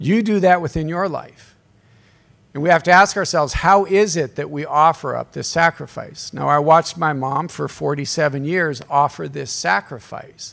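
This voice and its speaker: Pitched fairly high, the man keeps a moderate pace and shows ordinary pitch variation. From US, southwest Colorado. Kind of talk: workshop talk. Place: hall. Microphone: podium.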